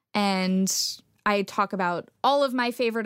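With an American accent, a plain, everyday voice with ordinary pitch variation comes through on a very clean recording with a silent background. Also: woman. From Texas. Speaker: astrophysics PhD student and science communicator. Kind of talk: interview conversation.

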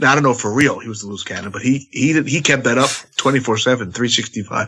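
With a plain, everyday voice, a man speaks at a medium pitch and a fairly quick pace. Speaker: pro wrestler. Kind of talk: casual chat.

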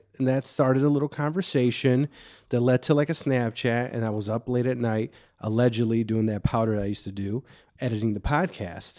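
With a Chicago accent, a man speaks at a medium pitch with a dark, mellow tone and ordinary pitch variation, on a very clean recording with a silent background. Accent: Chicago-area. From Waukegan, Illinois. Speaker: comedian. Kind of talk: casual chat.

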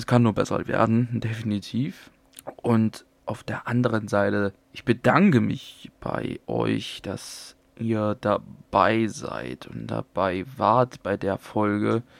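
At a very slow pace, a man speaks in a dry, close sound with no echo. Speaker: podcaster sharing own experience with depression. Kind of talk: personal monologue.

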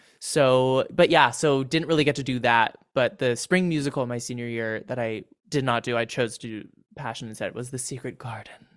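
A man with a Californian accent speaks fairly quickly in a medium pitch, his loudness swinging widely, on a very clean recording with a silent background. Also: ordinary pitch variation. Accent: General American (California). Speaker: TikTok comedy creator and actor. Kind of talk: casual chat.

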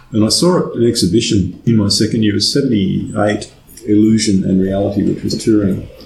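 There is noticeable background noise and audible room echo. A man with a fairly low pitch speaks with ordinary pitch variation. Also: moderate pace. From Australia. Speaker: conceptual artist. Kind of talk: interview. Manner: halting.

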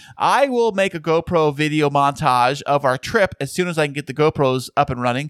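A man's fairly high voice with an American accent and ordinary pitch variation, hardly any pauses, dry and close with no echo, on a very clean recording with a silent background. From California. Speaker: podcast co-host. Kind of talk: casual chat.

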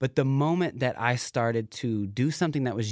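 In an American accent, a man at medium pitch speaks at a fairly quick pace with an animated, passionate tone and lively intonation, recorded very cleanly against a silent background. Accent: Southern US, toned down. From Knoxville, Tennessee. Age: 20s. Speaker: aspiring YouTuber and fitness vlogger. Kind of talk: casual chat. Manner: animated, passionate, talkative.

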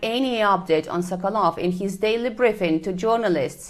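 An ordinary speaking voice from a woman at medium pitch, with ordinary pitch variation, a fairly quick pace and a quiet background. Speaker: Moscow correspondent. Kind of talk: newsreading. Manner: formal, even, brisk.

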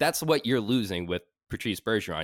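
An ordinary speaking voice from a man with an American accent, fairly low-pitched with lively intonation at a fairly quick pace, in a very clean recording with a silent background and a dry, close sound with no echo. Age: 20s. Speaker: podcast producer. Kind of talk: casual chat.

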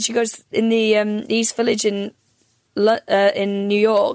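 In a North Welsh accent, a woman speaks at a fairly slow pace with a fairly high pitch and monotone, flat intonation. The sound is dry and close, without echo. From North Wales. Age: 30s. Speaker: comedian. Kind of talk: casual chat. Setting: video call.

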